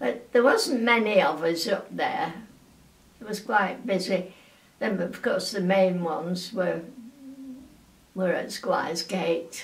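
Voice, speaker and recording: Speaking very slowly with long, frequent pauses, a woman at medium pitch shows ordinary pitch variation over noticeable background noise. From England. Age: 80s+. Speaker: wartime aircraft factory worker. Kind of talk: oral history interview answer.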